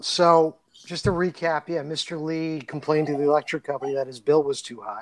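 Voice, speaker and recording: A man talks at a fairly quick pace in an ordinary speaking voice, pitched fairly high with fairly even intonation. His loudness swings widely. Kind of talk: casual chat. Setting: remote recording.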